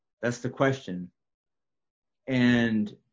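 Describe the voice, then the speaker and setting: The voice belongs to a man. It sits at a medium pitch and varies in an ordinary way. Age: 50s. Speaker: prophetic minister. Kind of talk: casual discussion.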